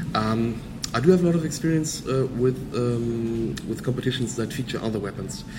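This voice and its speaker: A man speaks with a German accent amid noticeable background noise and audible room echo. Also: medium pitch for a man, ordinary pitch variation, moderate pace. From Germany. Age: 20s. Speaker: physicist and karate instructor. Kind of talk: interview. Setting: hotel lobby.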